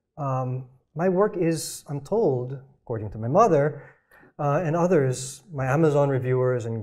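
Against a quiet background, a man speaks in a fairly high pitch with a somewhat breathy sound. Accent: American. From Philippines, raised partly in US and Canada. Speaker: novelist and panel moderator; author on a panel. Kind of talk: literary panel discussion. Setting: stage with audience. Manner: halting, many repeated words and fillers. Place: stage. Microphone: lapel.

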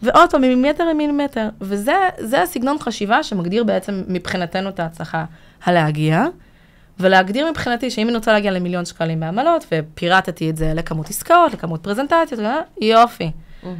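A woman speaks at a moderate pace. Her pitch swings very widely. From Israel, immigrated from Latvia at six. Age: 30s. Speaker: business consultant and trainer; trainer. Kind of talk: casual interview. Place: studio. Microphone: studio mic.

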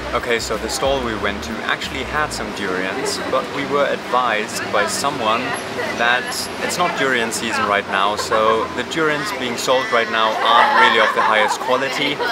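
Loud background noise under a man's moderately paced speech. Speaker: travel vlogger. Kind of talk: casual vlog chat. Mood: upbeat, relaxed. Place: street. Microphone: phone near.

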